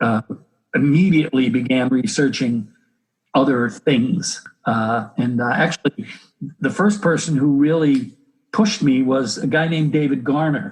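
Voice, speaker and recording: A man with an unremarkable speaking voice talks at a fairly high pitch. His pace is moderate and his intonation lively. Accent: American. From United States. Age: 60s. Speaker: health educator and exercise physiologist. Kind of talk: interview.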